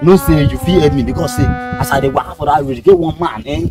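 The sound is dry with no echo, and music plays clearly in the background. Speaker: skit actor. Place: open country. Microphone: phone near.

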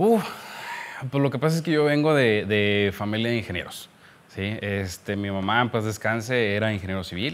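A man at a moderate pace, fairly low in pitch, with ordinary pitch variation. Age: 30s. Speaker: civil engineer, surveyor; podcast guest. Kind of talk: casual chat. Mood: relaxed, reminiscing. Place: office. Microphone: studio mic.

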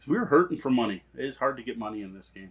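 With lively intonation, a man talks at a very fast pace. His voice has a slightly husky edge. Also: medium pitch for a man.

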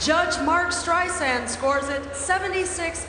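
A woman speaks at a very slow pace with audible room echo. Noticeable background noise runs underneath. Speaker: ring announcer. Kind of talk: boxing ring announcement of judges' scores. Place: stadium. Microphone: handheld.

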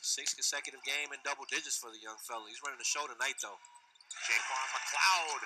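Big swings in loudness mark a man's fairly quick speech, heard over noticeable background noise. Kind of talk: live sports commentary, color analyst. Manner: animated, excitable, chatty; laughing, playful banter.

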